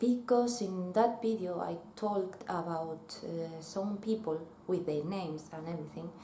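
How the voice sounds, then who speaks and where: The speaker uses ordinary pitch variation. Noticeable background noise runs throughout. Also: woman. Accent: Spanish. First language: Spanish. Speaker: former breakdancer. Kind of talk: personal talk to camera. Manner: slow.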